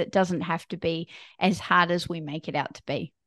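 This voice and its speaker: A woman's fairly low voice in a New Zealand accent, with a dry, close sound and no echo. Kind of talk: interview.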